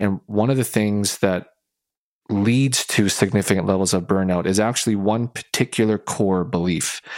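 On a very clean recording with a silent background and a dry, close sound with no echo, a man with an ordinary speaking voice and fairly low pitch talks at a moderate pace with very even loudness and fairly even intonation. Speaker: podcast host, sport and workplace psychology consultant. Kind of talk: casual chat.

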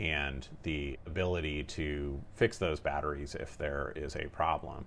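Over a quiet background, a man speaks with a very deep, low pitch and vocal fry. His intonation is fairly even. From Northern California. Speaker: air quality regulator. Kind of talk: interview.

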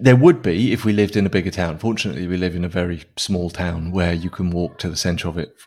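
Speech in a British accent comes at a very fast pace with hardly any pauses and ordinary pitch variation. The recording is very clean, with a silent background. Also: man, very deep, low pitch for a man. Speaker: software developer and open source maintainer. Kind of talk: casual interview. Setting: living in Spain.

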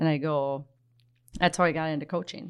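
In an Upper Midwest accent, a woman speaks fairly quickly with a very deep, low pitch and ordinary pitch variation over a very clean recording with a silent background. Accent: Upper Midwest (Minnesota). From Minnesota, Twin Cities area. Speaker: hockey coach and former pro player. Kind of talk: casual chat.

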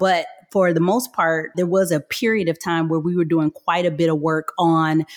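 With an American accent and an ordinary speaking voice, a woman talks at a fairly low pitch in a dry, close sound with no echo. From Michigan, US. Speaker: software company executive. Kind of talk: interview.

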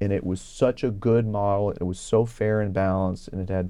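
A man's dark, mellow tone at a fairly low pitch, with fairly even intonation and a moderate pace over a quiet background. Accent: Texan. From Texas, Houston area (Kingwood). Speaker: state legislator and physician. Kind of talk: interview.

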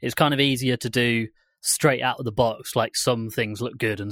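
A man with an ordinary speaking voice, medium in pitch, talks at a moderate pace with fairly even intonation, recorded very cleanly with a silent background and a dry, close sound with no echo. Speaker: podcast co-producer guest. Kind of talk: casual chat.

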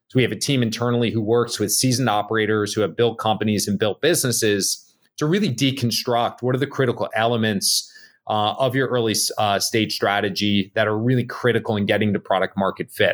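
A man with an American accent speaks at a very fast pace and medium pitch. His intonation is fairly even, his loudness very even, and the recording very clean with a silent background. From New Jersey, Bergen County. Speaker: tech startup CEO and Marine veteran. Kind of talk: podcast interview. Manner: hesitant, many fillers.

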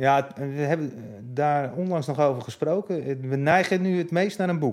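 A man with a plain, everyday voice speaks fairly slowly at a fairly high pitch with ordinary pitch variation, on a very clean recording with a silent background. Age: 50s. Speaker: music chart historian. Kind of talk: interview.

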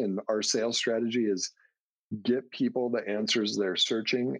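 This man, with an unremarkable speaking voice, keeps a moderate pace and a fairly low pitch, his intonation fairly even. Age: 30s. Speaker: subscription box entrepreneur. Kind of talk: casual interview.

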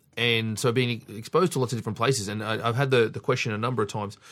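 Very fast speech in an Australian accent, with ordinary pitch variation, on a very clean recording with a silent background. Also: man. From Sydney, Australia. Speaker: strength coach. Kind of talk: casual chat. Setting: in-person studio recording.

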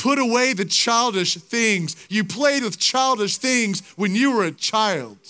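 In a raised, projected voice with a high pitch and a bright, sharp tone, a man speaks at a fairly slow pace with hardly any pauses and ordinary pitch variation, on a very clean recording with a silent background. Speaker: preacher. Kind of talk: sermon. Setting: stadium with a large live audience. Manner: impassioned, urgent preaching with pleading calls to the crowd.

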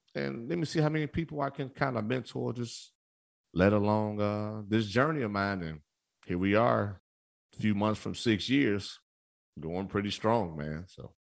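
A man at a moderate pace with very wide pitch swings in a very clean recording with a silent background. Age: 30s. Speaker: podcast host. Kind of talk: casual chat. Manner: animated.

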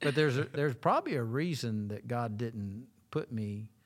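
An ordinary speaking voice from a man, at a moderate pace with ordinary pitch variation. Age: 60s. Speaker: associate pastor. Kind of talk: casual chat.

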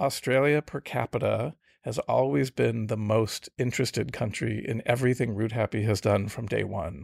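Speaking at a moderate pace with hardly any pauses, a man has an American accent and vocal fry. The sound is dry and close, with no echo. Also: medium pitch for a man, ordinary pitch variation, very clean recording, silent background. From US Midwest (Grand Rapids, Michigan). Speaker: travel tech company CEO. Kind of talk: interview.

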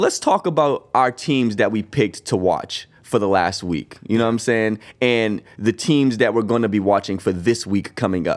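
In an American accent, a man with an ordinary speaking voice talks at a moderate pace and medium pitch, his intonation lively, on a very clean recording with a silent background. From Boston. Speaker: sports podcast co-host. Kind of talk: casual chat.

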